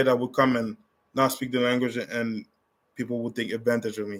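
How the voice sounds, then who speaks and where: A man speaks with a French accent. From Canada, originally from Africa. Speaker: travel livestreamer. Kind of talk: casual livestream Q&A chat.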